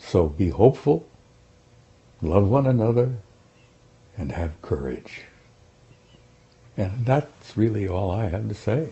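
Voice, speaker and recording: A man with an American accent speaks in a fairly low pitch with vocal fry. His pitch swings very widely. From United States. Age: 70s. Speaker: former army sergeant, UFO researcher. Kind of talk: interview. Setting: interview with two hosts. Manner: halting, repeats words.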